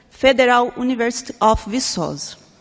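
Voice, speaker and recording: This woman speaks with a Portuguese accent. Her pitch sits high. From Brazil. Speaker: researcher and professor. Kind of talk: conference talk. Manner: halting.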